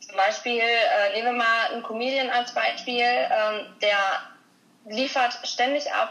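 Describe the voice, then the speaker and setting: Noticeable noise in the background, with ordinary variation in pitch. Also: woman. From Dortmund, western Germany. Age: 20s. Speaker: actress and stuntwoman. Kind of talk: casual interview.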